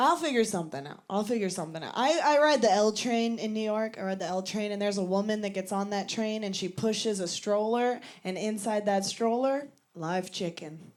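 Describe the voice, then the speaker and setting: A woman with an American accent at a medium pitch, lively intonation and a fairly quick pace, with audible room echo. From Virginia, US. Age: 30s. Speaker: stand-up comedian. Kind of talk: stand-up. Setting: stage with audience.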